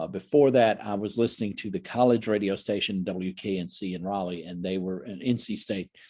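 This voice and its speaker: With hardly any pauses, a man talks at a fairly quick pace in a fairly low voice that has a dark, mellow tone and ordinary pitch variation. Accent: American. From US South, Oxford, North Carolina. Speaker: author, former radio broadcaster. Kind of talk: casual interview chat. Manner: halting, many repeated words and fillers.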